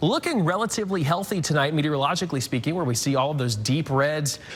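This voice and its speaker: Noticeable background noise sits behind a man speaking at a very fast pace. His tone is energetic and his pitch fairly high. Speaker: TV meteorologist. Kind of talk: TV weather forecast. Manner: energetic, fast-paced broadcast delivery.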